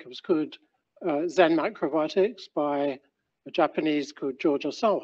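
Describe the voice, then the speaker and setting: There is a man talking, and the background stays quiet. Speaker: presenter. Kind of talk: lecture. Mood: relaxed, lightly humorous.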